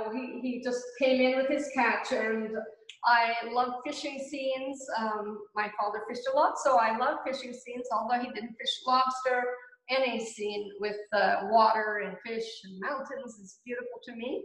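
A woman with a Gaspé Canadian accent at high pitch, fairly slow pace, and fairly even intonation, with audible room echo over a quiet background. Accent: Gaspé anglophone Canadian English. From Gaspé Peninsula, Quebec; Quebec. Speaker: painter. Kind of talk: casual interview. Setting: community centre cafe.

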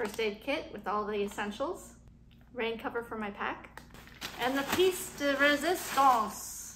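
Noticeable background noise sits behind a woman talking with ordinary pitch variation. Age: 40s. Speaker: travel vlogger. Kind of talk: gear tutorial. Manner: casual, with fillers. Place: home room. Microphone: phone near.

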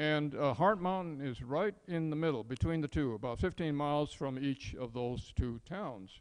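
A normal speaking voice from a man with an American accent, fairly high in pitch, fairly slow, ordinary pitch variation, hardly any pauses, quiet background. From San Francisco, US West Coast; California. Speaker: retired engineer and speaker on wartime incarceration; speaker. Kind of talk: public talk. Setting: museum event with audience. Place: hall.

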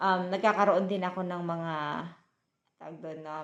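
This is a woman's voice. Its pitch is fairly low, with ordinary variation. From Philippines, provinces. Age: 40s. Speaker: vlogger. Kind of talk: casual vlog talk. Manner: halting, many fillers.

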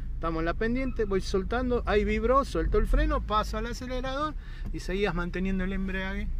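A man talks at a fairly quick pace, his voice dry with no echo over light background noise. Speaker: driving instructor. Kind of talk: instruction. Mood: calm, encouraging. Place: car. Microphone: phone near.

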